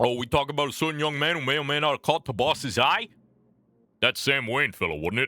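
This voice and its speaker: A man's put-on character voice, fairly high in pitch and fairly quick, with a dry, close sound and no echo. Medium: solo performance. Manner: confiding, hushed.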